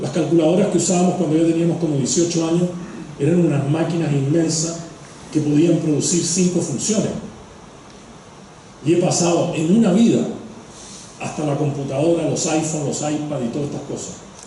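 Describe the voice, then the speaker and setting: Through noticeable background noise and audible room echo, a man with a fairly high pitch speaks at a fairly quick pace in a fairly even intonation, broken by long, frequent pauses. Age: 60s. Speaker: economist and environmental policy expert. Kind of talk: lecture. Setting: stage with audience.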